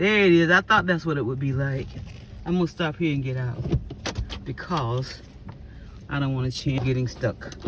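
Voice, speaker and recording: The tone is animated and the pace moderate, broken by long, frequent pauses. Noticeable background noise runs underneath. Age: 60s. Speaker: local resident filming storm damage. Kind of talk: casual vlog narration. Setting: outdoors.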